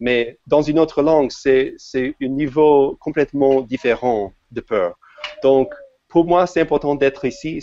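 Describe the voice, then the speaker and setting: Recorded with a dry, close sound and no echo, a man with an English accent and a fairly high pitch speaks at a fairly slow pace with ordinary pitch variation and long, frequent pauses. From United States. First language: English (speaking French). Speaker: software developer. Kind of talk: podcast interview. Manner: halting, many hesitations.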